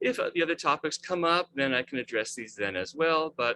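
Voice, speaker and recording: A man's fairly high voice races at a very fast pace with very wide pitch swings, a bright, sharp tone, and a dry, close sound with no echo. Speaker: webmaster of a research website. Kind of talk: presentation in video call. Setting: video call.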